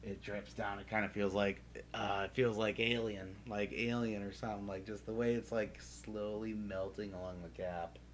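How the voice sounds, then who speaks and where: A man mumbling at a moderate pace, fairly low pitch, lively intonation and hardly any pauses. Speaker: streamer painting miniatures. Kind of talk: casual live stream chat. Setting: live stream with game audio. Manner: hesitant, many fillers.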